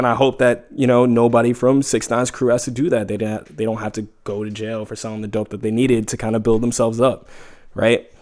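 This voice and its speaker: A man with a New York accent talks at a very fast pace. His medium-pitched voice stays monotone and flat. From New York City (Harlem). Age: 20s. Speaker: podcast guest. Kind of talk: casual chat.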